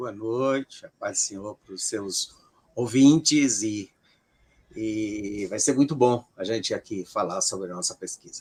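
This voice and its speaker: With a Ceará accent, a man speaks at a very slow pace. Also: big swings in loudness. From Brazil, Ceará. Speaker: sociologist of religion. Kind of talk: interview. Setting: live stream.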